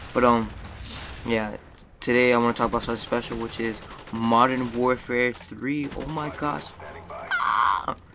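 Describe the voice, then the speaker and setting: The speech moves at a fairly slow pace with long, frequent pauses, and noticeable background noise runs underneath. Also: man, medium pitch for a man. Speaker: gaming commentator. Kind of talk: gameplay commentary. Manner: stuttering, many filler words.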